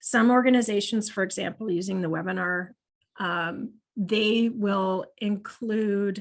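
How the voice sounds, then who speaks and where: A woman's unremarkable speaking voice, medium in pitch with ordinary pitch variation, against a quiet background. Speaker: marketing analytics trainer. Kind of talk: webinar presentation.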